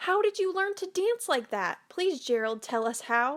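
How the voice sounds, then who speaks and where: A woman puts on a squeaky character voice at an extremely high pitch. Her pitch swings very widely as she talks at a moderate pace. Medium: read story.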